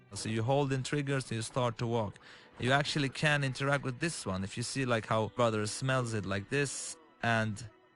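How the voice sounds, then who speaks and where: With an Arabic accent, a man speaks at a moderate pace and medium pitch, with ordinary pitch variation. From Lebanon. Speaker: game director. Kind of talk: game walkthrough commentary. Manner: halting.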